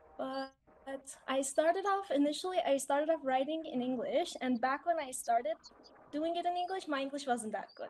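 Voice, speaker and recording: The speech moves at a fairly quick pace. Its pitch varies in an ordinary way. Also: woman, high pitch for a woman. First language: Persian. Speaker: English speaking teacher. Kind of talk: casual chat.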